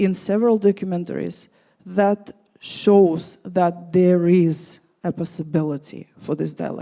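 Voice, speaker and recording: A woman's dark, mellow voice in a Russian accent, fairly slow, with fairly even intonation. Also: fairly low pitch for a woman. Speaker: panelist. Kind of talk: panel discussion.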